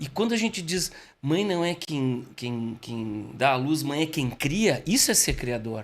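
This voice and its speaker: A man talks at a fairly slow pace. His fairly high pitch moves in very wide swings. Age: 60s. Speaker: communication expert and speaker. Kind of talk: casual podcast interview. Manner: animated.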